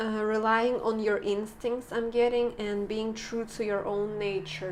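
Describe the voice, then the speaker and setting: A soft-spoken woman talks at a fairly slow pace with a fairly high pitch. Her intonation stays fairly even, and there is audible room echo. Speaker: tarot reader. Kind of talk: tarot reading. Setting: indoors filming by a window.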